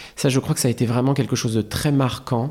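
Here a man speaks in a dark, mellow tone. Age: 30s. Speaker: comedian. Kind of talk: casual chat. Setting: studio. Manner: halting.

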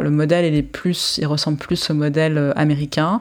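In a very clean recording with a silent background, a woman talks at a moderate pace with a very deep, low pitch and fairly even intonation. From France (Paris), Israeli parents. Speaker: sociologist and author. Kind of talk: interview. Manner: hesitant, many fillers.

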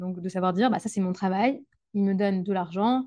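At a moderate pace, a woman speaks in a dark, mellow tone with ordinary pitch variation against a quiet background. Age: 20s. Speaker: primary school teacher. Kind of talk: interview conversation. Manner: hesitant with fillers and repetitions.

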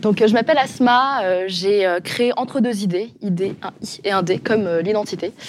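A woman at a medium pitch with ordinary pitch variation, at a fairly slow pace with hardly any pauses, over noticeable background noise. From France, Le Mans (Sarthe). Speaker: podcaster. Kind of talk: panel discussion.

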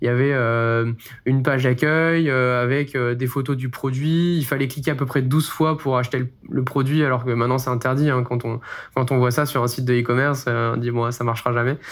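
At a fairly quick pace, a man speaks in a monotone, flat delivery. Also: medium pitch for a man. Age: 20s. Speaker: engineer and startup founder. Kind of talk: interview testimony. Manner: hesitant, many fillers.

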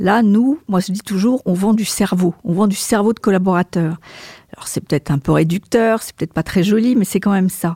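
Pitched at medium height with ordinary variation, a woman's voice has a dark, mellow tone, is somewhat breathy and moves at a moderate pace with big swings in loudness. The sound is dry and close with no echo, on a very clean recording with a silent background. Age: 60s. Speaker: marketing and communications director. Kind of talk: interview. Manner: hesitant, repeats words.

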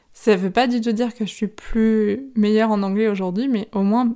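A woman's medium-pitched, dark, mellow voice, monotone and flat, at a fairly slow pace on a very clean recording with a silent background. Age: 30s. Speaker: podcast host, yoga teacher. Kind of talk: solo podcast monologue. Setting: filmed at sister's home.

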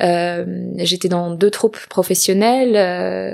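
The speaker is a woman with a medium pitch. She talks very slowly. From southern France, near Marseille. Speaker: actress and filmmaker. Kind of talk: personal testimony interview. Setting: living room in Los Angeles.

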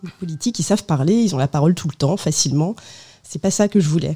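Her tone is dark and mellow, her pitch fairly low. The woman's intonation is lively. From France, of Portuguese parents. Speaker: biographer, former journalist. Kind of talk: radio interview. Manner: hesitant, many fillers.

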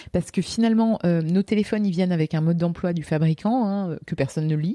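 A woman talks at a fairly quick pace with a fairly low pitch and ordinary pitch variation, the sound dry and close with no echo. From France, Lorraine. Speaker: teacher and speaker. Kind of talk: interview. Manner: hesitant, many fillers.

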